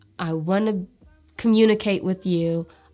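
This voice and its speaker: A woman's medium-pitched voice with ordinary pitch variation and music in the background. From Eritrean family, raised in America. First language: Tigrinya. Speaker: nurse. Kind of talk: interview answer.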